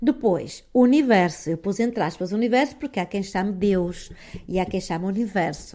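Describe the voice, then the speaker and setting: In a strong northern Portuguese accent, a woman speaks at a moderate pace and medium pitch, her dark, mellow tone carried by lively intonation. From northern Portugal. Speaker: online wellbeing coach. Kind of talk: casual live stream chat with viewers. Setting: live stream with headphones. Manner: calm, soothing.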